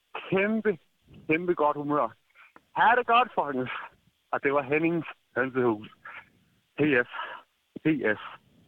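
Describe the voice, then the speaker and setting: Speaking at a very slow pace, a man uses a fairly high pitch with very wide swings. His loudness stays very even, broken by long, frequent pauses. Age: 20s. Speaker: listener leaving voicemail. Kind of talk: voicemail message. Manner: animated.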